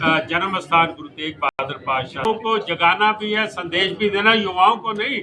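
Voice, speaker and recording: Over noticeable background noise and audible room echo, a man with a high pitch raises and projects his voice, using ordinary pitch variation. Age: 60s. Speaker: cycling federation official. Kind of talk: press conference.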